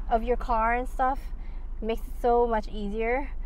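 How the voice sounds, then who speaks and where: With light background noise and a dry sound without echo, a woman speaks using ordinary pitch variation. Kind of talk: casual vlog chat. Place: car. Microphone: phone near.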